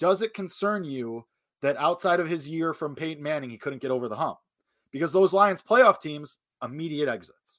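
In a very clean recording with a silent background, a man talks at a moderate pace with a fairly high pitch. His intonation is lively and his loudness swings widely. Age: 20s. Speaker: sports podcast co-host. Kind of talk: casual sports talk. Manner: animated.

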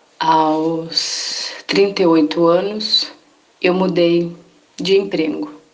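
In a room with audible echo and noticeable background noise, a woman with a fairly low pitch speaks very slowly with lively intonation. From São Paulo coast, Brazil. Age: 30s. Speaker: psychologist and teacher. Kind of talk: testimony.

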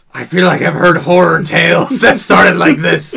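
A man adopts a put-on character voice pitched high, keeping a moderate pace. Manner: nervous, wary.

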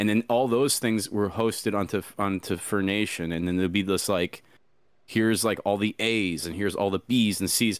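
A man with a plain, everyday voice speaks at a moderate pace with a fairly low pitch and fairly even intonation. The recording is very clean, with a silent background. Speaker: furry VR content creator. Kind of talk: casual interview chat.

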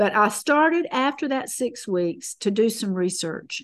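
Someone speaks with a Southern US accent over a quiet background. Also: woman. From US South, North Carolina. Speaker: guest sharing health testimony. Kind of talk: testimony. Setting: video call.

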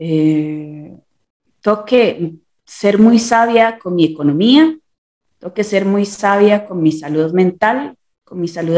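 A woman speaks very slowly in a dark, mellow tone with lively intonation. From Costa Rica. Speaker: visual and performing artist. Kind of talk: interview. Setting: remote call.

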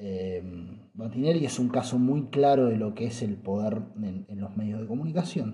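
A man with a Rioplatense accent speaks at a moderate pace and medium pitch, with ordinary pitch variation. His tone is dark, mellow and somewhat breathy, and room echo is audible. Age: 30s. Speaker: podcaster. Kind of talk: casual monologue. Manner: halting.

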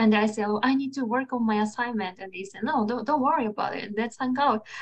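A woman with a Japanese accent, fairly high in pitch, at a moderate pace with ordinary pitch variation. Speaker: podcast host. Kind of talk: casual interview conversation.

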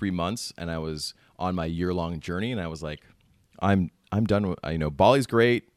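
Speaking with an American accent at a fairly quick pace, a man with a very deep, low pitch and ordinary pitch variation comes through a dry, close sound with no echo on a very clean recording with a silent background. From United States. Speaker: podcast host. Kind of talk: podcast interview.

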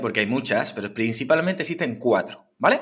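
It is an ordinary speaking voice. A man talks at medium pitch with lively intonation. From Huelva, Andalusia, Spain. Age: 30s. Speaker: fitness trainer. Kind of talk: interview. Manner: frequent tag questions.

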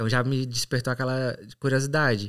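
Man with a Ceará accent at a moderate pace, on a very clean recording with a silent background. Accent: Brazilian Portuguese, northeastern (Ceará). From Brazil, Ceará (São Benedito, Serra da Ibiapaba). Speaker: English teacher turned exchange student and night porter. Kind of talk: casual interview chat.

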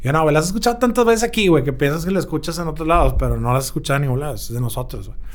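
Through audible room echo, a man with a fairly high pitch races along at a very fast pace, with hardly any pauses and lively intonation. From Monterrey, Mexico. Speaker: musician. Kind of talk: casual interview. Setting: record label office.

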